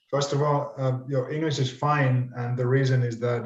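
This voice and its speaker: A man's medium-pitched, monotone delivery at a moderate pace, with audible room echo. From Finland. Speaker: teacher. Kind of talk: online panel discussion. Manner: halting, repeats words.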